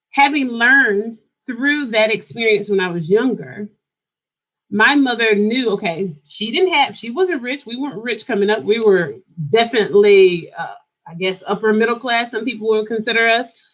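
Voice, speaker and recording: A woman with an American accent, fairly high pitch, animated tone, lively intonation, big swings in loudness and a moderate pace. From US South, Greensboro, North Carolina. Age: 40s. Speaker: lifestyle YouTuber. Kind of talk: casual livestream chat. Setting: at home, live stream.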